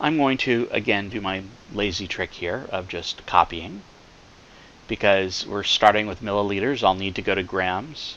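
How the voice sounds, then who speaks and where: This man has a fairly low pitch. His pitch variation is ordinary. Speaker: chemistry professor. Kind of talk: lecture. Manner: slow, deliberate.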